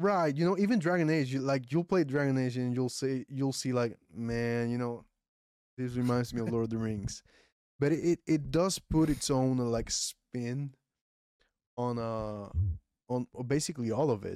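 A man speaks at a moderate pace with a Puerto Rican accent. His medium-pitched voice has a dark, mellow tone and ordinary pitch variation. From Puerto Rico. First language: Spanish. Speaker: podcast host. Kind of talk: casual chat. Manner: occasional stumbles over words.

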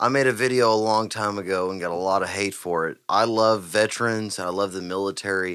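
A man's fairly low, fairly even voice with a Texan accent, fairly quick with hardly any pauses, in a very clean recording with a silent background. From Texas, Huffman. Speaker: podcast host and musician. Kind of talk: casual chat. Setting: live-streamed podcast studio.

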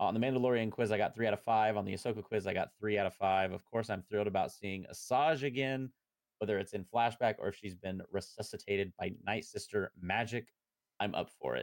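A man with a plain, everyday voice speaks at a fairly quick pace and fairly low pitch, using ordinary pitch variation, in a dry, close sound with no echo. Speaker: podcast host. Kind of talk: casual chat.

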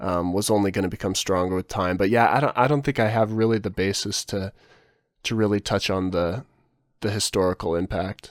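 The speech moves at a moderate pace with fairly even intonation, recorded dry and close with no echo on a very clean, silent background. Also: man. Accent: Californian. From California. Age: 20s. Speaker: wildlife documentarian. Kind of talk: casual chat.

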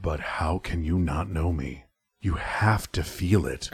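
A gravelly voice speaks at a fairly slow pace with ordinary pitch variation. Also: man, very deep, low pitch for a man. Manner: intimate, coaxing.

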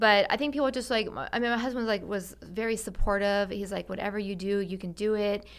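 An unremarkable speaking voice moves at a fairly quick pace with hardly any pauses. Its intonation is fairly even. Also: woman, medium pitch for a woman, very clean recording, silent background. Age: 40s. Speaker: marriage and family therapist. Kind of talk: casual chat.

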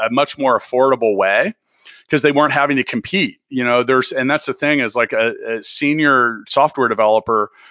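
In a plain, everyday voice, a man speaks at a fairly quick pace with medium pitch and fairly even intonation. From US Midwest (Kansas City). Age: 40s. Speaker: tech company founder and podcast host. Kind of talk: interview conversation.

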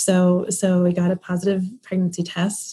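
Somewhat breathy, a woman speaks at a medium pitch with a dark, mellow tone. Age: 30s. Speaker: fertility patient and mother. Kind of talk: interview.

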